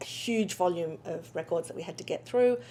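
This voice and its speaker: A woman with an Australian accent, her dark, mellow voice fairly low in pitch with ordinary variation, at a fairly quick pace. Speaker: legal technology company founder. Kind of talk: interview. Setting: conference.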